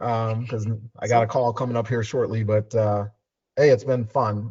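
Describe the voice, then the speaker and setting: A man speaks in a somewhat breathy voice. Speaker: finance advisory director. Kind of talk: video call Q&A. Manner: fast.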